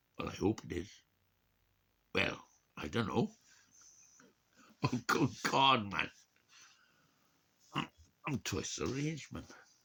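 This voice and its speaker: A man speaks in a Welsh accent at a medium pitch. He leaves long, frequent pauses. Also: fairly slow pace. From Wales. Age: 60s. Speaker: vlogger. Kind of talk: casual chat. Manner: halting.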